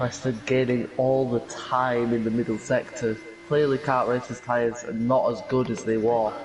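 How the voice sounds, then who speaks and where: With a strong Yorkshire accent, a man speaks at a medium pitch and moderate pace, his intonation fairly even, over noticeable background noise. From Yorkshire, northern England. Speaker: sim racing commentator. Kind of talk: live commentary.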